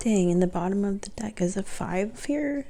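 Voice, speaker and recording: The voice is soft-spoken. It moves fairly slowly. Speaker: tarot reader. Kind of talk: tarot reading.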